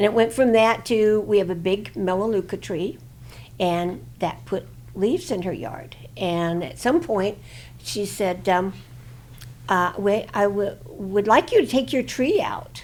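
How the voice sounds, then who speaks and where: Her voice has a medium pitch and vocal fry, with ordinary pitch variation. The woman speaks at a fairly slow pace. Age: 80s+. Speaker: plaintiff in a lawsuit. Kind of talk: interview testimony. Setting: studio. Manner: halting, many fillers.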